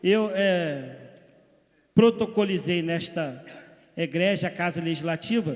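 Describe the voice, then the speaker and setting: A man speaks with ordinary pitch variation. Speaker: city councillor. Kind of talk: council session speech. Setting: municipal council chamber. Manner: hesitant fillers.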